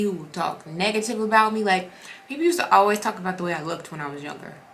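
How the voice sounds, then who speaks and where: A woman is speaking. Noticeable noise sits in the background. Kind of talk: casual devotional vlog. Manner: fast when excited; animated.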